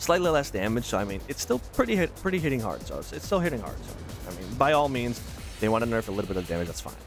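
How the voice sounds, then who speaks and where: A man with a medium-pitched voice talks at a very fast pace, his pitch swinging very widely and his loudness rising and falling sharply, with music playing behind him. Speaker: gaming content creator. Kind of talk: casual gameplay commentary. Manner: fast, rambling.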